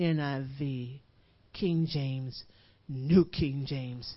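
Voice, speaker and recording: Very deep, low female voice, its intonation fairly even. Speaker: guest preacher and worship leader. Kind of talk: sermon, building to impassioned exhortation with congregation call-and-response. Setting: church service before a live congregation. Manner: hammering, repetitive drive, piling up 'you push it in' with rising intensity.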